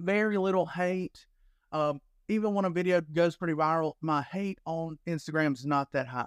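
Recorded very cleanly against a silent background, with a dry, close sound and no echo, a high-pitched man with an American accent talks at a moderate pace with ordinary pitch variation. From US South, Alabama. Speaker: disc golf content creator. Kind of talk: casual interview chat.

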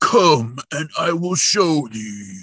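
A man puts on a growling character voice, pitched fairly high, with a dramatic tone. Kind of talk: archaic, theatrical. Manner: dramatic, growly.

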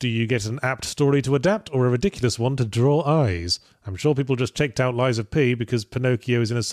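The reading voice here is natural.

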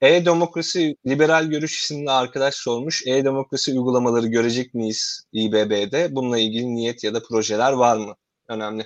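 This man has a plain, everyday voice at a medium pitch, with ordinary pitch variation and a moderate pace. He speaks with hardly any pauses against a quiet background. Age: 30s. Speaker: podcast host and academic researcher. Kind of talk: interview hosting. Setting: video call from home.

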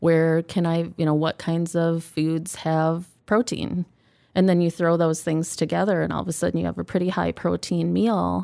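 On a very clean recording against a silent background, a woman delivers her words at moderate speed. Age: 50s. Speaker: tea house owner. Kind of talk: casual chat. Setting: studio.

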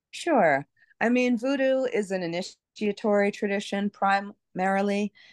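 A woman with an American accent, an ordinary speaking voice, medium pitch and ordinary pitch variation, at a fairly slow pace, in a dry, close sound with no echo against a quiet background. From New York City (Brooklyn). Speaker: voodoo priestess and author. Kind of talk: interview.

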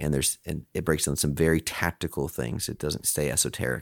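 A man's very deep, low voice with vocal fry and ordinary pitch variation, fairly quick in pace, in a very clean recording with a silent background and a dry, close sound free of echo. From Alaska. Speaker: CEO of a peer advisory organization. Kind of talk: interview conversation.

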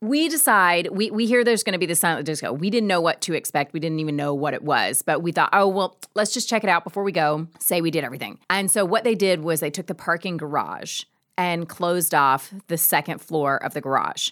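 Speaking at a fairly quick pace with hardly any pauses, a woman with an American accent has a plain, everyday voice and lively intonation. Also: fairly low pitch for a woman. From US South, Georgia. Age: 40s. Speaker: podcast co-host. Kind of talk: casual chat. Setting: studio.

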